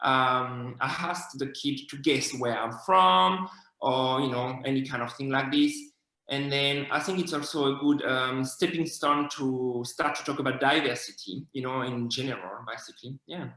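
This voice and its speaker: A man's medium-pitched voice with a French accent, at a moderate pace with ordinary pitch variation, amid audible room echo. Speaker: children's author. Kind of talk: interview. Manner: hesitant, many fillers.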